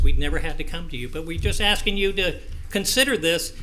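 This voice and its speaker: Noticeable background noise and audible room echo surround a man talking fairly quickly in an American accent. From US South. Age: 70s. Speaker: public commenter. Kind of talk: public comment at hearing. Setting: public meeting.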